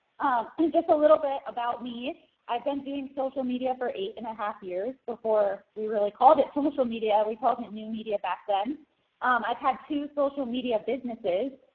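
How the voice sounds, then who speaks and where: A woman talks at a fairly quick pace. Her pitch sits high. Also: ordinary pitch variation. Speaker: social media marketing business owner. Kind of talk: webinar product demo. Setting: webinar. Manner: fast.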